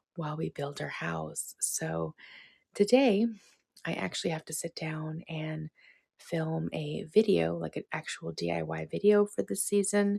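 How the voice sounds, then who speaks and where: A soft-spoken woman, with a dry, close sound and no echo. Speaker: lifestyle vlogger. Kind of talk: casual vlog talk. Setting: at home, one-room cottage. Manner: quiet, soft-spoken.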